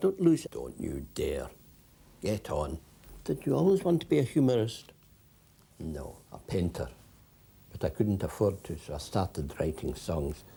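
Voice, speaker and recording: A man with a Scottish accent speaks at a moderate pace in a dark, mellow tone, fairly low in pitch, with vocal fry, very wide pitch swings, and long, frequent pauses. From Scotland. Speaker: poet and humorist. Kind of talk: comic self-interview.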